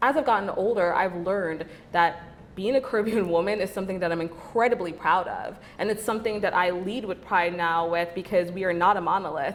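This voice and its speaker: Fairly quick speech from a woman at medium pitch, with ordinary pitch variation and noticeable background noise. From Belize. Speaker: beauty influencer. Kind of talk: interview.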